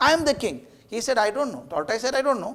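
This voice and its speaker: With an Indian accent, a man speaks at a fairly quick pace in an extremely high pitch with lively intonation. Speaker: educator, motivational speaker. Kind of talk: public lecture with storytelling.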